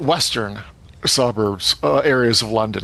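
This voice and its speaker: Noticeable background noise sits behind the speech. A man talks with ordinary pitch variation. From England, born in Manchester, schooled in Somerset. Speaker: cartoonist and game designer. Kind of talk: interview. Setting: remote video call.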